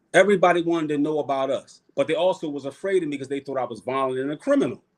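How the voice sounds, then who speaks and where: Speaking at a very fast pace, a man talks with a Philadelphia accent. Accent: northern US (Philly). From Philadelphia, US. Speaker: podcast guest, cultural activist. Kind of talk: casual chat. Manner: animated.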